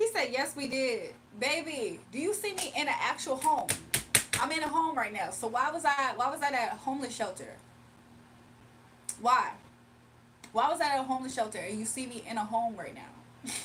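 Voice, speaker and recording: With an animated tone, a woman speaks at a high pitch in very wide pitch swings and long, frequent pauses, amid audible room echo and noticeable background noise. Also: moderate pace. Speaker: livestreamer and spiritual reader. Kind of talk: casual livestream chat. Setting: live stream.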